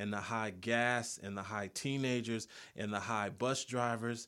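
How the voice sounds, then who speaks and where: This man has a plain, everyday voice with an American accent, medium pitch, ordinary pitch variation and a moderate pace, on a very clean recording with a silent background. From South Los Angeles. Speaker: poet and creative writing professor. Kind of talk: poetry performance; interview.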